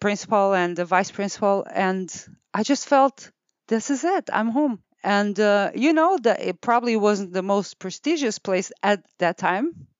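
At a moderate pace and very even loudness, a woman speaks at a medium pitch with ordinary pitch variation. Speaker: clinic owner, osteopathic practitioner. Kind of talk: interview. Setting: office studio with headset.

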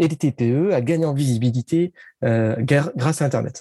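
The voice has a dark, mellow tone, somewhat breathy, with lively intonation and a dry, close sound with no echo. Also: man. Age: 30s. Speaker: digital marketing consultant. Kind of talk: interview.

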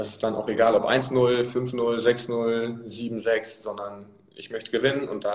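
There's noticeable background noise as a man speaks. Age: 20s. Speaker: amateur football player. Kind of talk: casual interview. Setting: live video stream from a press room.

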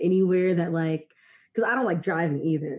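This woman has an ordinary speaking voice with a fairly low pitch and an American accent. Her intonation stays fairly even. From Maryland, US. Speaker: podcast host. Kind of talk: casual chat.

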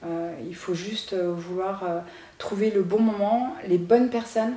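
A woman speaks with fairly even intonation. Audible echo from the room surrounds her voice. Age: 30s. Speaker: entrepreneur. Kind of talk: interview.

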